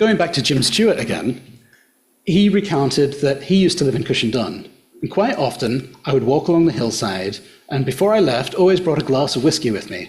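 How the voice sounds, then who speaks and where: A man's somewhat breathy, fairly high voice with very wide pitch swings at a fairly quick pace, in audible room echo. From Australia. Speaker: archaeologist and social historian. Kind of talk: public lecture. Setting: hotel function room with audience.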